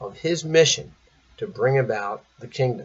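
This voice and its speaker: A somewhat breathy voice comes through. It belongs to a man. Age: 60s. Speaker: priest. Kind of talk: sermon.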